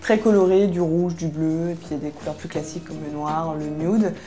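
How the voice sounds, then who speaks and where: Music plays in the background as a woman talks at a very fast pace. Her intonation is fairly even, and there is audible room echo. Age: 20s. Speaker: fashion and beauty youtuber, student. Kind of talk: interview. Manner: hesitant, many filler sounds.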